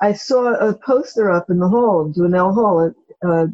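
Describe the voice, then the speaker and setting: In an unremarkable speaking voice, a woman with an American accent talks at medium pitch with ordinary pitch variation. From Brooklyn, New York. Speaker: professor. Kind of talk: interview.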